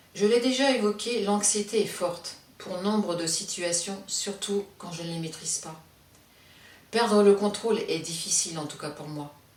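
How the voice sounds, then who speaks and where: Amid noticeable background noise and audible room echo, a woman of medium pitch speaks at a fairly slow pace, with ordinary pitch variation and big swings in loudness. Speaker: stroke survivor sharing her experience. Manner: curt intonation, speaks without breathing.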